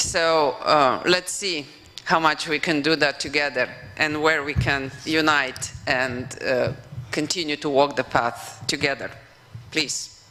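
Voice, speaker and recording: Speech in a Slovenian accent moves at a fairly slow pace with fairly even intonation, over noticeable background noise. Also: woman, very deep, low pitch for a woman. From Slovenia (former Yugoslavia). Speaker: professor and former European commissioner. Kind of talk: conference keynote speech. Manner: hesitant, with fillers.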